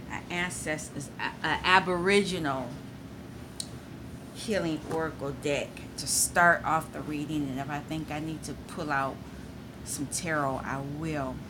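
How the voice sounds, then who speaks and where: A woman with a very deep, low pitch and fairly even intonation speaks with long, frequent pauses as room echo is audible. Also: fairly slow pace. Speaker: tarot reader. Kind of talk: tarot reading. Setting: at home. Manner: loud.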